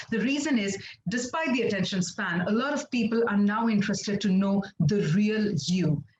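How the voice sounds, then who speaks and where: The speaker talks at a moderate pace in a Telugu accent. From India, Andhra Pradesh (Kakinada). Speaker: international anchor and presenter. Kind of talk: webinar talk.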